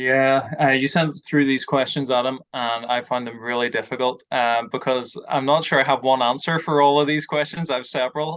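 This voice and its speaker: A man of medium pitch speaks at a moderate pace with fairly even intonation and hardly any pauses. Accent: Northern Irish. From Northern Ireland. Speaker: ministry trainer. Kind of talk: casual chat. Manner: hesitant with many fillers.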